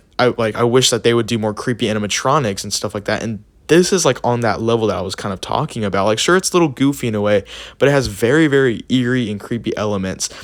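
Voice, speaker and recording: A man at medium pitch speaks very fast with ordinary pitch variation on a very clean recording with a silent background. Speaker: Halloween YouTuber. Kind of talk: casual commentary video. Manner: animated.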